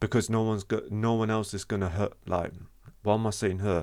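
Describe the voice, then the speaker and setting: A male speaker, very clean recording, silent background. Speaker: vlogger sharing personal experience. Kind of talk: unscripted talk to camera. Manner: stutters; halting, repeats words.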